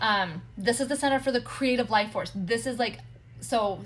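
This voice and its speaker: A woman's voice with vocal fry and lively intonation. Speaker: human design coach. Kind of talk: live stream teaching. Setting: social media livestream. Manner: fast; animated.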